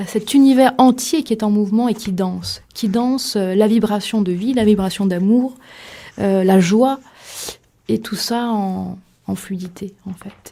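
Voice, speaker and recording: A woman of medium pitch speaks at a fairly slow pace in a dark, mellow, somewhat breathy voice with ordinary pitch variation, on a very clean recording with a silent background. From Limousin, France. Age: young. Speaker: author. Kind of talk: radio interview. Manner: hesitant, many fillers.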